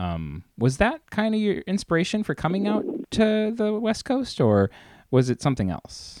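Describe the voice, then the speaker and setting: A man with an American accent talks at a moderate pace. The sound is dry and close, with no echo. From US small town. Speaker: radio host. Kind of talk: casual interview; scripted narration. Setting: phone call.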